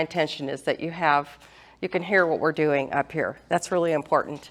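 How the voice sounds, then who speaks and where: A loud woman's voice, fairly low in pitch, at a moderate pace with ordinary pitch variation. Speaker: real estate agent hosting senior seminar. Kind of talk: seminar presentation.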